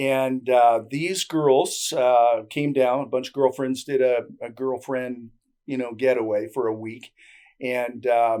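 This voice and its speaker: A man's medium-pitched voice with a Canadian accent, dark, mellow tone, fairly even intonation and fairly slow pace, on a very clean recording with a silent background. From Canada. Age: 60s. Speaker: barter trade broker. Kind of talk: interview. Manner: casual, many fillers.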